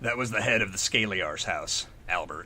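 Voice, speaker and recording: A man's put-on character voice at a moderate pace, over clear background noise. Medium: read story. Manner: blunt, loud.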